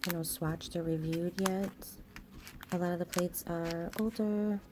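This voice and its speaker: The speaker whispers, soft-spoken, at a moderate pace. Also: woman. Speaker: nail art youtuber. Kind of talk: tutorial. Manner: soft-spoken, near whisper.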